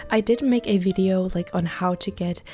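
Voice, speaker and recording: A woman at a medium pitch with ordinary pitch variation, against noticeable background noise. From Denmark. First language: Danish. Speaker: gaming YouTuber. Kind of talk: casual chat. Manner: casual, many fillers.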